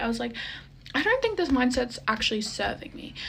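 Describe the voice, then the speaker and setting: Audible room echo hangs around a woman's talking. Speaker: lifestyle vlogger. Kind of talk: casual vlog monologue.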